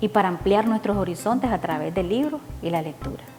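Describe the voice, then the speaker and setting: A woman speaks with a Nicaraguan accent at a medium pitch. Her intonation is lively, with music playing in the background. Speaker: poet and reading promoter. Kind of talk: instructional talk to camera.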